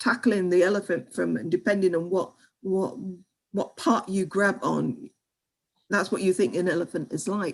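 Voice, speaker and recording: A woman with a British accent speaks at a medium pitch and a moderate pace. Her intonation is lively, with some vocal fry. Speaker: history education researcher and lecturer. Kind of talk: online seminar Q&A. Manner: halting, many repetitions.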